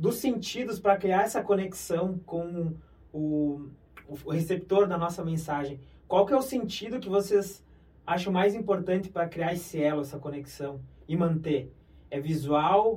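With a dark, mellow tone, a man speaks fairly slowly at a high pitch. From interior of Brazil. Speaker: podcast host on health topics. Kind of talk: interview.

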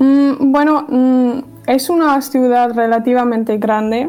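Over noticeable background noise, a woman with a German accent speaks in a high voice with fairly even intonation. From Germany, Dortmund. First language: German (speaking Spanish). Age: 20s. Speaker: communication student. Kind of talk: interview.

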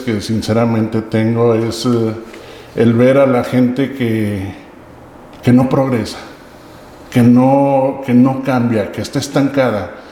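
With audible room echo and noticeable background noise, a man of medium pitch talks at a fairly slow pace with fairly even intonation. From Mexico, Aguascalientes. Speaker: local political candidate. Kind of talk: mock job interview.

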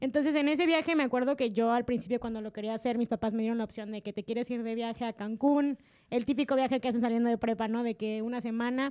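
Very clean recording, silent background, and a woman's fairly high, dark, mellow voice at a very fast pace with hardly any pauses and fairly even intonation. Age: 20s. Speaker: podcast co-host, communication student. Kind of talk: casual chat.

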